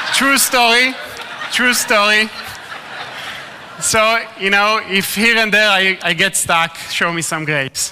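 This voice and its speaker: A man's raised, projected voice at a high pitch, very slow, with long, frequent pauses, ordinary pitch variation and noticeable background noise. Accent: Israeli. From Israel. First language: Hebrew. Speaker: ministry speaker. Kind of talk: talk to a live audience.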